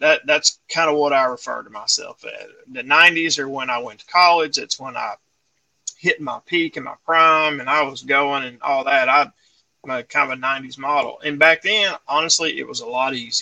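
A man with a fairly high, bright, sharp voice speaks at a moderate pace with ordinary pitch variation. His loudness swings widely, and the sound is dry and close with no echo. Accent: American. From Texarkana area, Texas–Arkansas line. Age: 40s. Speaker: outdoor gear company owner. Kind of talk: casual chat. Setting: studio.

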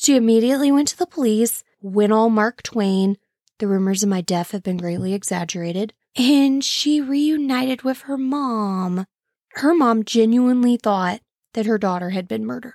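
A woman with a Midwestern American accent, fairly high pitch and lively intonation at a moderate pace, dry and close with no echo on a very clean recording with a silent background. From St. Louis area, Illinois side. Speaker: true crime podcast host. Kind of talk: casual solo podcast narration. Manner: casual, chatty.

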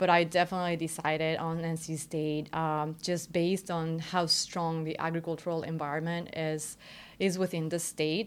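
In a Spanish accent, a woman speaks at a fairly low pitch. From Mexico, Querétaro. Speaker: doctoral student. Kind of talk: interview. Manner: hesitant, many fillers.

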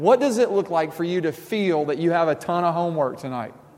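Audible room echo surrounds a man talking very fast in a fairly high voice with lively intonation. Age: 30s. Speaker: pastor. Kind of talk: sermon.

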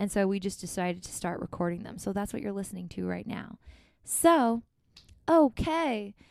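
A woman with an unremarkable speaking voice talks at a moderate pace in a medium pitch, her intonation lively and her loudness swinging widely. The recording is very clean, with a silent background. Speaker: podcast host and musician. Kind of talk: casual conversation. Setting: quarantine location in Minneapolis.

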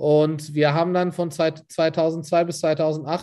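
Over a quiet background, a man speaks in a fairly high pitch with a dark, mellow tone and fairly even intonation. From Turkey, Istanbul. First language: Turkish (speaking German). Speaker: catering and food events entrepreneur. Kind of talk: casual interview. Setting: office.

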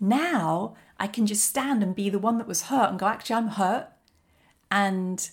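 With a plain, everyday voice, a woman speaks at a moderate pace and medium pitch, with ordinary pitch variation. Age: 40s. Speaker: life coach podcast host. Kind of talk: solo motivational monologue.

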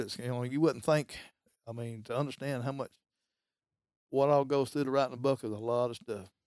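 A man with an Alabama accent talks at a very fast pace, his pitch fairly high. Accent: US Southern (Alabama). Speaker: hunter. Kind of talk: casual interview. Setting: trophy room.

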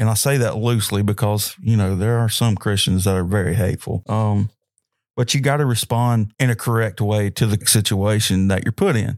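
Recorded very cleanly against a silent background with a dry, close sound and no echo, a man with an unremarkable speaking voice talks at a moderate pace in a fairly low pitch, with fairly even intonation and very even loudness. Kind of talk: solo podcast sermon-style talk. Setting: home or church room recording. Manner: casual, rambling, filler words.

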